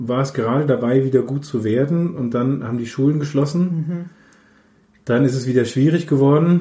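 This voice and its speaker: In a room with audible echo, a man with a fairly high yet dark, mellow voice sounds somewhat breathy, his pitch varying in an ordinary way. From Middle Franconia, Nuremberg. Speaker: paediatrician. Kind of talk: interview.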